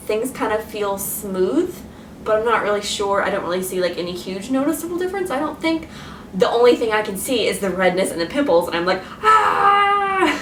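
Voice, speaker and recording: A woman speaks at a fairly quick pace with very wide pitch swings. Noticeable background noise and audible room echo are present. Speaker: beauty vlogger. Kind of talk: product review vlog. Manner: casual, filler-heavy; mumbling, restricted mouth movement.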